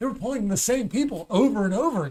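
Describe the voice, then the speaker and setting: This man speaks loudly, and his intonation is lively. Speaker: stand-up comedian. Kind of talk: casual chat. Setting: studio.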